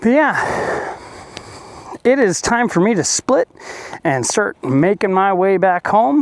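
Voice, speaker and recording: Against noticeable background noise, a man with a high pitch speaks very slowly, the sound dry and close with no echo. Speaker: motorcycle vlogger. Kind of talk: casual vlog narration. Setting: outdoors. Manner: loud.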